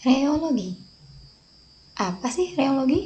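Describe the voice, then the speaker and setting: Fairly slow speech from a woman, pitch swinging very widely. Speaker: pharmacy student. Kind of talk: educational presentation.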